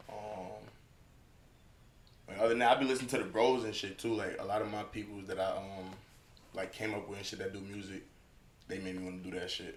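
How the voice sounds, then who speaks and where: A man's very fast, monotone delivery in an American accent, fairly low in pitch, with long, frequent pauses and audible room echo. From US South (Atlanta), born Long Island. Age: 20s. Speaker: rapper. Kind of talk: casual interview.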